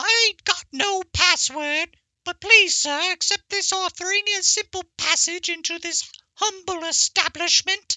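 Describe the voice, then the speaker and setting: The voice is a put-on character, pitched extremely high and squeaky. Its pace is moderate. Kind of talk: humble, pleading.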